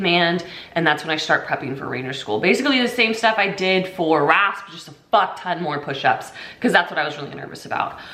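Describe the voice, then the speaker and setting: A woman with an American accent speaks at a fairly low pitch, with audible room echo and noticeable background noise. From US Pacific Northwest, Washington State. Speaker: army veteran. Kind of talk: casual vlog monologue. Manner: casual, filler-heavy.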